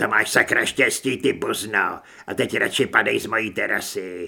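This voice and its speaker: A man's put-on character voice, growling, hissing and strained. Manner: hostile, growling.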